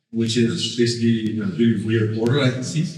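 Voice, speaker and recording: Moderate pace with audible room echo. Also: man. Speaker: sociologist. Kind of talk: lecture. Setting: stage with audience. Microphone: poor sound quality at the beginning.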